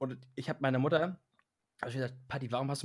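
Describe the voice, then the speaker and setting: Somewhat breathy and medium in pitch, a man rattles along at a very fast pace. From Hamburg, northern Germany. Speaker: podcast co-host. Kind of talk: casual chat.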